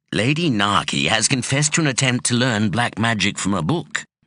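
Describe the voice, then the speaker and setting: Using a put-on character voice, a man speaks at medium pitch and a fairly quick pace, with lively intonation. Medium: read story. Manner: grave, measured.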